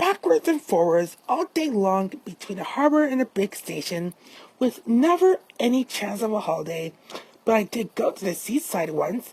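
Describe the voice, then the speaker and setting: Using a put-on character voice, a woman talks at a moderate pace in a fairly high pitch with very wide pitch swings. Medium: read story. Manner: gentle, wistful.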